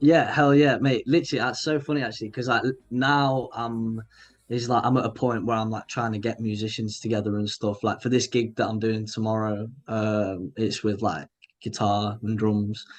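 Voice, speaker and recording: Speaking with a northern English accent, a man talks at a moderate pace and medium pitch with fairly even intonation against a quiet background. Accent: regional northern English. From northern England, Grimsby, Lincolnshire. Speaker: indie pop musician. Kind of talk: casual interview chat. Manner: halting, many fillers and restarts.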